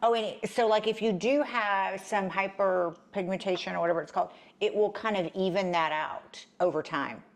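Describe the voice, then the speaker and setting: A woman's medium-pitched voice in a Texan accent, at a moderate pace with ordinary pitch variation. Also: quiet background. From South Texas. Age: 50s. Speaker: co-host. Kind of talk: casual chat.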